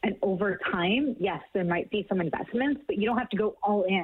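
In a normal speaking voice with a Canadian accent, the speaker moves at a moderate pace with lively intonation. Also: woman. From Canada. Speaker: green living blogger. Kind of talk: interview.

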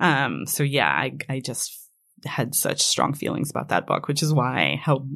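The speaker has an Israeli accent, vocal fry and fairly even intonation. The recording is very clean, with a silent background. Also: woman. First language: Hebrew. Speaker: fiction writer. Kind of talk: interview. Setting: studio.

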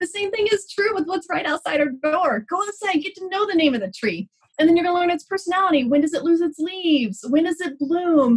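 A woman with a Texan accent talks at a fairly quick pace with hardly any pauses, her extremely high voice moving in lively intonation. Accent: Texan American. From Texas. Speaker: biologist and educator. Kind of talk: casual interview. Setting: video call.

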